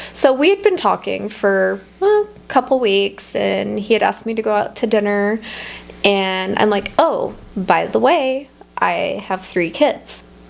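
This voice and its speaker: Speaking at a fairly slow pace over noticeable background noise, a woman talks with an American accent. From Nevada, US. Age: 30s. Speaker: entrepreneur. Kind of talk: interview. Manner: halting.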